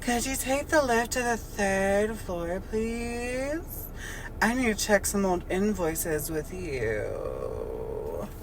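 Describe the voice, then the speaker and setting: A breathy, put-on character voice, female-sounding, at a very slow pace over loud background noise. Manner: sultry, breathy.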